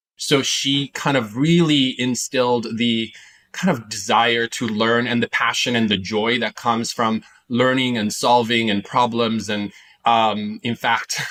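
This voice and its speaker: A man with a slight Italian accent talks at a fairly slow pace and medium pitch, with fairly even intonation and a bright, sharp tone. The recording is very clean, with a silent background. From Italy, Milan area. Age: 40s. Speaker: entrepreneur and investor. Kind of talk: interview. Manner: hesitant with many fillers.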